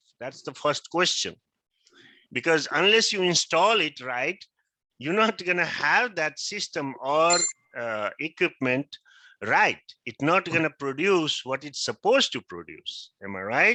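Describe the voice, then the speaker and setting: Against a quiet background, a man with a fairly high, bright, sharp voice and some vocal fry speaks at a fairly slow pace with very wide pitch swings, the sound dry and close with no echo. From Nepal. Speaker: teacher. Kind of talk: lecture.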